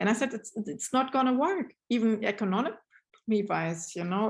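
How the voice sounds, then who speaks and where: A woman's somewhat breathy voice with a German accent, moderate pace, ordinary pitch variation and a quiet background. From Germany. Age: 50s. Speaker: brand ambassador and novelist. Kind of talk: interview. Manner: halting.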